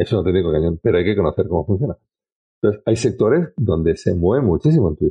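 A man's voice with very wide pitch swings. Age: 50s. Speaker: sales trainer and social selling expert. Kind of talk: casual interview conversation.

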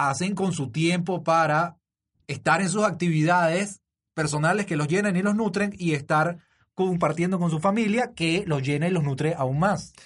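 A man speaks with a Venezuelan accent at a fairly slow pace. His pitch is high, with ordinary variation. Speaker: podcast host and father. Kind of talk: casual interview chat.

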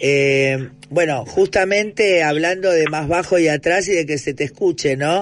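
Speaking fairly slowly in a plain, everyday voice, a man uses a fairly high pitch with ordinary pitch variation. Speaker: radio host. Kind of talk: radio interview.

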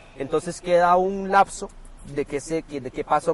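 A man talks fairly slowly with a Costa Rican accent and ordinary pitch variation. Noticeable background noise is present. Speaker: podcast host. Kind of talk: casual chat. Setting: parked car.

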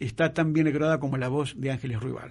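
A man with an Argentine accent talks with fairly even intonation. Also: quiet background. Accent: Argentine Spanish (Rioplatense). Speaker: radio host. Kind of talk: radio interview and presentation. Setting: radio studio.

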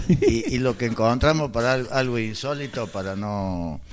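A man speaks at a fairly slow pace. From Córdoba, Argentina. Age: 60s. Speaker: former cinema owner. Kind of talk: radio interview. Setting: radio studio.

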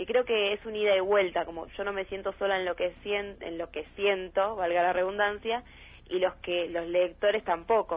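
This woman speaks at a medium pitch and moderate pace. Her intonation is monotone and flat. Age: young. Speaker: writer and actress, theater student. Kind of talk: interview.

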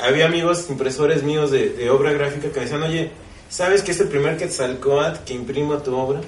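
A man with a Mexican accent speaks at a fairly high pitch. Noticeable background noise and audible room echo are present. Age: 40s. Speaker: printmaker artist. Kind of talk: panel discussion at book launch. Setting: bookstore with live audience.

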